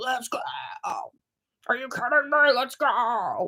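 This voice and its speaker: In a put-on character voice that sounds female, a high-pitched voice shouts at a fairly slow pace. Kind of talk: loud. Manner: excited, pumped, yelling.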